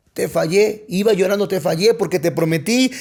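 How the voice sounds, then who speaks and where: This man speaks with ordinary pitch variation. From Mexico, Coatzacoalcos, Veracruz. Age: 30s. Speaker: pastor. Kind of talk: personal testimony in podcast interview.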